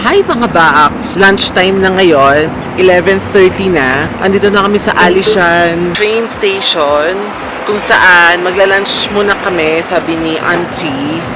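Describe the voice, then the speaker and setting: The speech comes at a very slow pace, with noticeable background noise. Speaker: travel vlogger. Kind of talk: travel vlog narration. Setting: on a train. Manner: soft-spoken.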